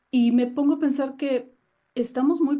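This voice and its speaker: Against a quiet background, a woman with a Mexican accent speaks in a dark, mellow tone. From Mexico. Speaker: novelist. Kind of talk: interview.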